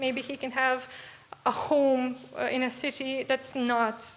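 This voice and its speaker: Speaking fairly slowly with a Serbian accent, a woman keeps a high pitch and a monotone, flat intonation over noticeable background noise. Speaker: young game developer presenting a student project. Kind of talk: Q&A after a pitch presentation. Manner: halting, many fillers.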